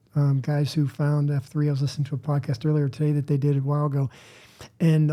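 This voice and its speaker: At a fairly quick pace, a man speaks in a fairly high, somewhat breathy voice with a dark, mellow tone and monotone, flat intonation. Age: 60s. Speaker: fitness group workout leader. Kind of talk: casual chat.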